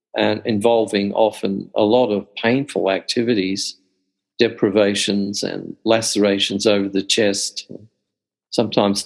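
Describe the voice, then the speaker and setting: A man with an Australian accent, fairly low pitch and fairly even intonation. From central Australia. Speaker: Jungian scholar. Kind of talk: interview.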